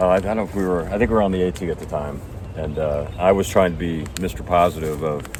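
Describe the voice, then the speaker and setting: With audible room echo and noticeable background noise, a man speaks at a very fast pace and a very deep, low pitch. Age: 60s. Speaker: retired hiker and video host. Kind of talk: casual chat.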